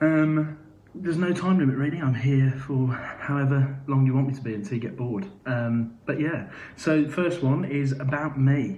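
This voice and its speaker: Audible room echo surrounds a man's somewhat breathy voice, dark and mellow in tone and fairly high in pitch. He speaks at a moderate pace with ordinary pitch variation. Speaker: musical theatre actor. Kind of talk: live Q&A. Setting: live video stream. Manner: hesitant, many fillers.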